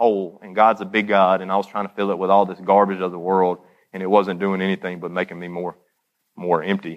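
Speaking at a fairly low pitch, a man talks with a Southern US accent. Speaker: former addict giving testimony. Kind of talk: testimony. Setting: church.

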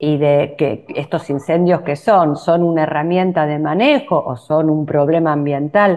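With hardly any pauses, a woman speaks at a fairly slow pace in a very deep, low pitch with fairly even intonation. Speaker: university dean and columnist. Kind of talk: radio interview.

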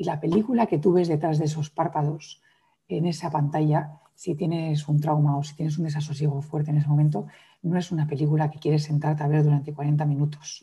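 A woman's very deep, low voice, somewhat breathy and dark and mellow in tone, with fairly even intonation and a fairly quick pace, in a very clean recording with a silent background. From Madrid, Spain, then raised abroad. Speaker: yoga teacher and trauma specialist. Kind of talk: interview conversation.

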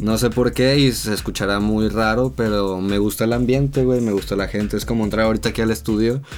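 Speaking at a fairly quick pace with hardly any pauses, a man with an ordinary speaking voice keeps very even loudness and a fairly low pitch with ordinary variation. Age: 20s. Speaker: photographer and video director. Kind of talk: casual chat. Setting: studio.

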